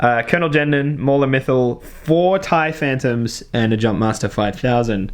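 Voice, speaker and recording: A man with an Australian accent speaks at a moderate pace and medium pitch, with ordinary pitch variation, very even loudness and hardly any pauses. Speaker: tabletop wargame channel host. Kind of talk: game battle report commentary. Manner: casual, many filler words.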